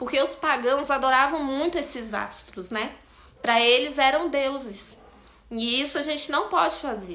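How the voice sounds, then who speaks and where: A woman's raised, projected voice at high pitch, with ordinary pitch variation, a fairly slow pace and audible room echo. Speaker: bible study teacher. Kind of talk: bible study lesson.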